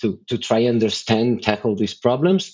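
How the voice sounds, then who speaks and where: A man of medium pitch speaks with a slight non-native accent and ordinary pitch variation. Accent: slight foreign. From Brazil. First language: Portuguese. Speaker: tech company executive. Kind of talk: podcast interview. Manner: halting.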